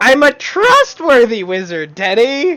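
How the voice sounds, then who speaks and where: This is a put-on character voice at a high pitch. It moves at a fairly slow pace, with very wide pitch swings. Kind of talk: comic improvised roleplay. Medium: actual play. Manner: rambling, over-explaining.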